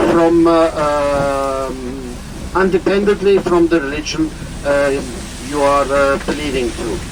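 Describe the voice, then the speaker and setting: Noticeable background noise sits under a man talking at a fairly slow pace. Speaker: tour guide. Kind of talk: guided tour talk. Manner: halting, many fillers.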